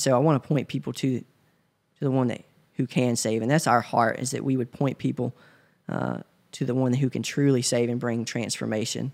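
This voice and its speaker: A man with a Tennessee accent talks at a fairly quick pace with fairly even intonation. His pitch is medium, and the sound is dry and close with no echo. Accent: US Southern (Tennessee). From West Tennessee, small town near Memphis. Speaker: church member. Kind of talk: interview. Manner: hesitant, many fillers.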